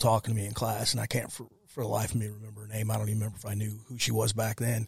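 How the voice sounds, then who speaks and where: A somewhat breathy, medium-pitched male voice at a very fast pace, on a very clean recording with a silent background. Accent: Midwestern American. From US Midwest, St. Louis area (Ferguson, Missouri). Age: 30s. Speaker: war veteran. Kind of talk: casual interview.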